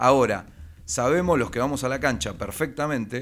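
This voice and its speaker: A man with a Rioplatense accent is heard on a very clean recording with a silent background. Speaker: sports radio host. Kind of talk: casual chat.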